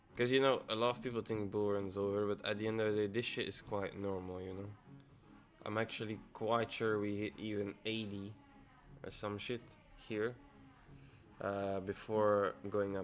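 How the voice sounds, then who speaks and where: A man's fairly low, monotone, flat delivery at a moderate pace, with long, frequent pauses and music in the background. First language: Dutch. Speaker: forex and crypto trader streaming live. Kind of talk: live trading stream chat. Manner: thinking aloud, hesitant with fillers.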